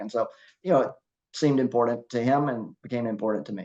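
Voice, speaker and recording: A plain, everyday voice from a man of medium pitch, with fairly even intonation against a quiet background. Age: 60s. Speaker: masters CrossFit athlete and competition judge. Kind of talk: casual interview chat.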